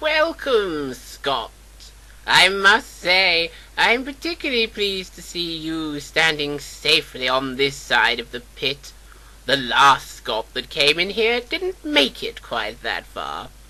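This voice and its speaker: A man puts on a character voice, pitched fairly high. He speaks at a fairly slow pace. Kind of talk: audio drama.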